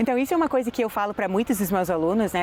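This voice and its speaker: With an English accent, the woman speaks with ordinary pitch variation. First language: English (speaking Portuguese). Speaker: English teacher. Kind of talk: interview.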